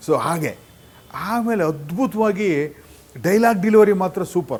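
This man's voice sits at a high pitch. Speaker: theatre director and actor. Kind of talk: reminiscing narration.

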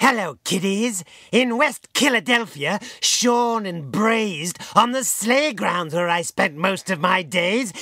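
Using a put-on character voice pitched high for a man, he talks at a fairly slow pace with hardly any pauses. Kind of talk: comic horror host impression. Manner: cackling, punning, gleeful.

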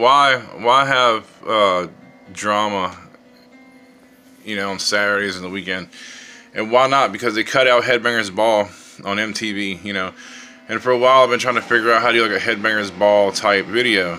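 A man speaks with a fairly low pitch and fairly even intonation, leaving long, frequent pauses. Faint music plays in the background. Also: moderate pace. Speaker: vlogger. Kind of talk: casual vlog chat. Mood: fed up, annoyed. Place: home room. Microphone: phone near.

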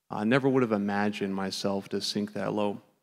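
A man talks at a fairly low pitch, captured on a very clean recording with a silent background. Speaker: recovered addict. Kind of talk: testimony. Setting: church.

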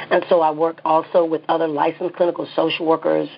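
Over noticeable background noise, a woman talks with a Southern US accent. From US South. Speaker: psychotherapist and clinic owner. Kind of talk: interview.

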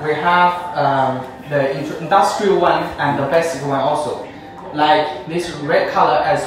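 A man at a fairly slow pace, with fairly even intonation, strong room echo and music in the background. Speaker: presenter. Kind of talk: product demonstration. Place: studio.

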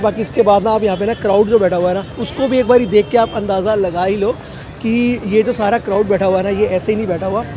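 Over crowd noise in the background, a man talks at a fairly quick pace in a high voice with fairly even intonation, the sound dry with no echo. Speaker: food vlogger. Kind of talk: casual vlog chat. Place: street. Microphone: lapel.

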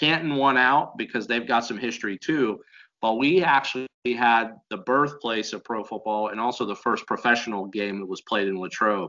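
In an American accent, a man talks at a moderate pace with a bright, sharp tone and ordinary pitch variation over a quiet background. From US, western Pennsylvania. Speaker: football coach and university teacher; football coach, university teacher. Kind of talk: casual interview. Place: home room. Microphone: video call.

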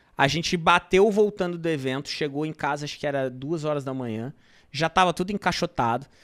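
Against a quiet background, a man speaks at a fairly quick pace with a fairly high pitch and ordinary pitch variation. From São Paulo, Brazil. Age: 30s. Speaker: marketplace entrepreneur; podcast guest. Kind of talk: casual interview storytelling. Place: studio. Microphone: studio mic.

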